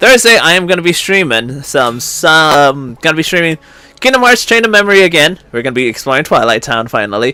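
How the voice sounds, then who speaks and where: Loud and bright with a sharp tone, this man talks at a fairly quick pace, his fairly high voice making very wide pitch swings. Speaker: gaming streamer. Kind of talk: casual stream talk.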